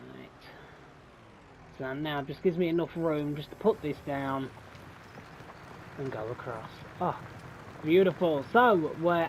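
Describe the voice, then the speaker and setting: Speaking with a British accent, a man uses a relaxed tone at a moderate pace with ordinary pitch variation. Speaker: gaming YouTuber. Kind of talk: let's play commentary. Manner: casual, relaxed.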